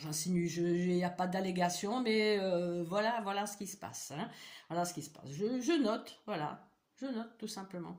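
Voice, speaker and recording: Somewhat breathy speech in an Eastern European accent at a fairly slow pace. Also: woman. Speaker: vlogger. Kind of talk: personal vlog monologue. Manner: halting, many hesitations and repetitions.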